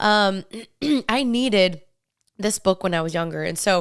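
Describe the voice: On a very clean recording with a silent background, a woman speaks at a medium pitch in a fairly bright, clear, smooth tone.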